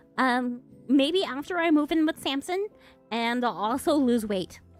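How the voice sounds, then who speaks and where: A woman's high voice with lively intonation at a fairly slow pace, music playing in the background. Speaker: streamer with an animated avatar. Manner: hesitant, repeats words.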